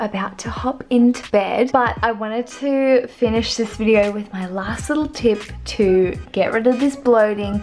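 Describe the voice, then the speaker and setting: Amid noticeable background noise, a woman with an Australian accent speaks at a fairly slow pace and a fairly high pitch with ordinary pitch variation. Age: 20s. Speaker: vlogger. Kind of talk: casual chat.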